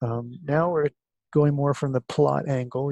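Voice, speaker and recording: The voice is quiet, with a dark, mellow tone. The sound is dry and close, with no echo. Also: man. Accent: American. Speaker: college instructor. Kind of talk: recorded course lecture. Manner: speaking quietly; hesitant, many fillers.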